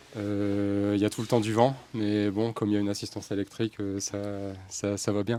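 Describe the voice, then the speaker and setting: A man's fairly low pitch and dark, mellow tone, with monotone, flat intonation at a moderate pace, on a very clean recording with a silent background. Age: 40s. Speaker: gardener working by bike. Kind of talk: round-table interview. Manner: halting, many hesitations.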